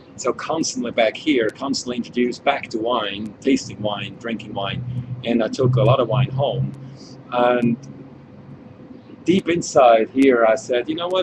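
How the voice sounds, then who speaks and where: Over noticeable background noise, a man with a Swiss accent talks at a moderate pace in a medium pitch, with ordinary pitch variation and long, frequent pauses. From Switzerland. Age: 40s. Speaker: winemaker. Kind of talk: wine tasting chat.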